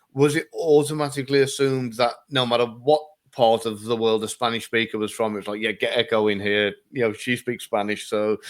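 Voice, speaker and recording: Speaking with an English accent, a man talks at a fairly quick pace and medium pitch with fairly even intonation and hardly any pauses. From England. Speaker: interview host. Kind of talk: casual interview chat.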